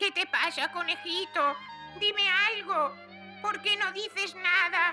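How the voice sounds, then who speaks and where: An extremely high-pitched cartoonish character voice at a fairly slow pace, with clear music in the background. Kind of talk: cartoon comic acting. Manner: impish, sly, teasing.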